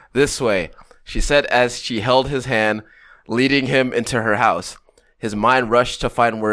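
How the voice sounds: The passage comes across in a natural reading voice.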